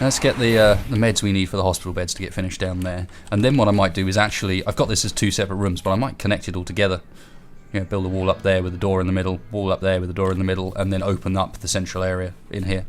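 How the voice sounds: A man speaks at a very fast pace. His low voice has little pitch movement.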